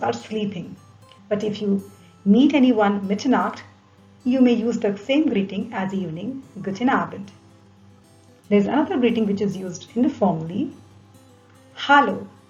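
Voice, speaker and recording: A woman speaks at a medium pitch and moderate pace, with ordinary pitch variation. She leaves long, frequent pauses while music plays in the background. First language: not German. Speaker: German language teacher. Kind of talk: language lesson narration.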